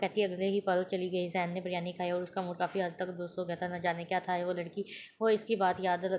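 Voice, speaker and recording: A woman's plain, everyday voice at medium pitch. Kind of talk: audio novel reading.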